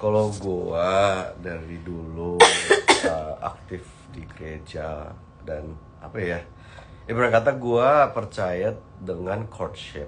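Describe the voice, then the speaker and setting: Speaking very slowly in a Medan accent, a man has a very deep, low pitch with ordinary variation and big swings in loudness. Noticeable background noise and audible room echo surround him. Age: 30s. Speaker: host's husband. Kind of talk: casual chat. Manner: hesitant.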